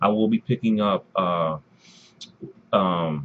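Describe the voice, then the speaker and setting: A quiet, fairly low-pitched male voice with ordinary pitch variation. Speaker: gaming YouTuber. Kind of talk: unboxing video commentary. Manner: rambling, disorganized delivery; quiet, low volume.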